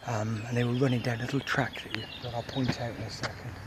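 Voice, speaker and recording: The intonation is monotone and flat, and the pace is fairly quick. Noticeable background noise sits behind the speech. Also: man. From UK. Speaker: bushcraft vlogger. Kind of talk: outdoor vlog. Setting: outdoors by a river. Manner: whispering; halting, many fillers.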